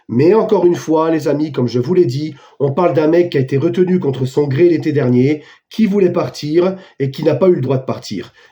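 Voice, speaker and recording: Moderately paced, a man's dark, mellow voice shows ordinary pitch variation. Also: fairly high pitch for a man. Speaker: football YouTuber. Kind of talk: casual commentary to camera. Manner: animated.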